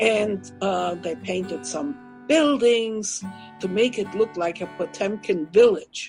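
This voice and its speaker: A woman at a medium pitch with lively intonation and a very slow pace, music playing in the background. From Germany. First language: German. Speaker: Holocaust survivor, author and public speaker. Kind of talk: interview answer.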